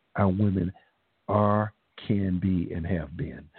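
A man's very deep, low-pitched voice. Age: 60s. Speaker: stage actor and educator. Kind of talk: radio interview. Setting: studio.

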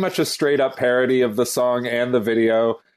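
An ordinary speaking voice moves at a moderate pace against a quiet background. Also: man. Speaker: music commentator. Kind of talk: casual chat.

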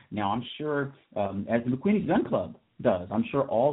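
A man speaks in a normal speaking voice at a medium pitch. His pace is fairly slow. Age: 40s. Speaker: radio talk show host. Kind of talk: solo talk radio commentary. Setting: studio.

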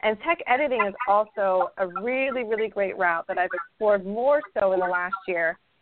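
A woman with an American accent has an ordinary speaking voice, medium in pitch with ordinary pitch variation, moving at a moderate pace with hardly any pauses. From Idaho, US. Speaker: crochet designer. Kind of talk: casual interview.

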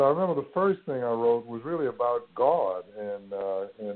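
Using lively intonation, a man with a New Orleans accent talks at a medium pitch. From US South. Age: 60s. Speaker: university president and spoken word poet. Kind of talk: casual interview.

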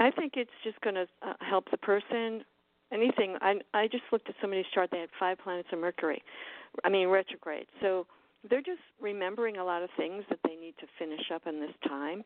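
In an ordinary speaking voice, a woman talks at a fairly quick pace, medium in pitch with ordinary pitch variation. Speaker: artist and astrologer. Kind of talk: casual chat.

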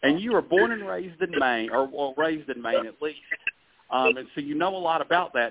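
At a moderate pace, a man speaks with lively intonation at a fairly high pitch for a man.

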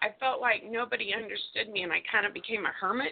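A woman with lively intonation at a fairly quick pace. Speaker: caller. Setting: phone call. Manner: excited, enthusiastic.

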